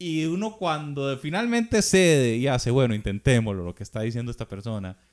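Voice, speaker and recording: A man with a Costa Rican accent, at a moderate pace, with very wide pitch swings. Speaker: drummer. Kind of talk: casual chat.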